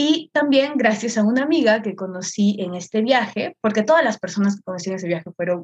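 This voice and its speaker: A woman with a somewhat breathy, medium-pitched voice uses lively intonation, recorded with a dry, close sound and no echo. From northern Peru, Chiclayo. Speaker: content creator and artist. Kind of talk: casual chat.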